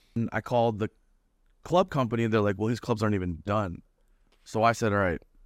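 A man with a Toronto accent speaks at a very fast pace and fairly low pitch, with ordinary pitch variation and long, frequent pauses. The very clean recording has a silent background and a dry, close sound with no echo. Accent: Toronto Canadian English. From Canada (Toronto, Ontario). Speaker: professional golfer. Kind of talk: casual chat. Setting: in-person studio. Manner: animated.

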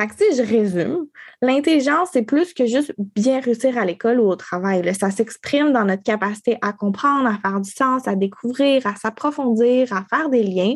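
Speaking with a strong Quebec accent, a woman with a fairly high pitch uses lively intonation at a moderate pace against a quiet background. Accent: strong Québécois. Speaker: podcast co-host. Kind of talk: casual chat.

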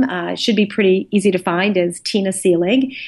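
A woman's normal speaking voice at a medium pitch with ordinary pitch variation. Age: 50s. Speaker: professor and author. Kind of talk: interview.

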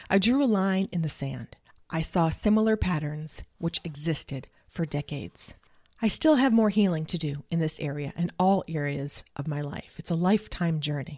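The recording is very clean with a silent background. A woman speaks at a fairly low pitch in a dark, mellow tone. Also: lively intonation, moderate pace. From New England. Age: 40s. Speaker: narcissistic abuse recovery coach. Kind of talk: personal testimony.

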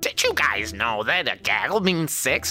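Using a put-on character voice, a man speaks at a moderate pace with fairly high pitch. Clear music plays in the background. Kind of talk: comic voice put on by game master. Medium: actual play. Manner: polite, matter-of-fact.

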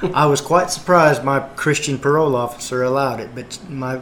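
A man speaks in an ordinary speaking voice at a fairly high pitch. His pace is fairly quick, and his pitch variation is ordinary. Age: 50s. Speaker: gospel singer and former truck driver. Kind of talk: testimony.

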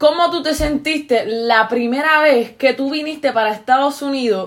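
Her pitch is high for a woman, with ordinary pitch variation. She speaks in a Puerto Rican accent. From Puerto Rico. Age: 20s. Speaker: podcast host. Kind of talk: casual chat.

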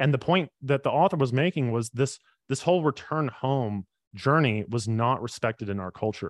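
In a normal speaking voice, a man with an American accent talks at a moderate pace with ordinary pitch variation, recorded with a dry, close sound, no echo, and a quiet background. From US South, Birmingham, Alabama. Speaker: ministry program leader and author. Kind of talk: interview. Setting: video call.

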